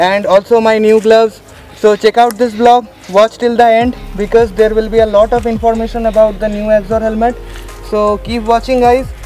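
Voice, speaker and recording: Faint music sits in the background as a man speaks at a moderate pace. His high pitch stays in a monotone, flat intonation. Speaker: motorcycle vlogger. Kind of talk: product review. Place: forest.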